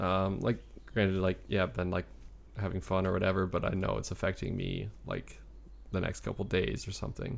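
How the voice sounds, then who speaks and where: A man's moderate-paced speech is heard on a very clean recording against a silent background. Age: 20s. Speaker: personal trainer. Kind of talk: casual chat.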